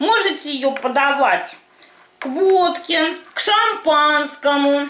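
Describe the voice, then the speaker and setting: Raised and projected, a woman's bright, sharp voice carries with audible room echo. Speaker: home cooking vlogger. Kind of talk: casual cooking tutorial chat. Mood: cheerful, humorous. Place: kitchen. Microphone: camera far.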